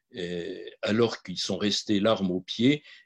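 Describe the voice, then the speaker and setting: The sound is dry and close, without any echo. Delivery is very slow. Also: man. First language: Polish (speaking French). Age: 70s. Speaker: physician and Holocaust memory advocate. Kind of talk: testimony. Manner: halting, many hesitations.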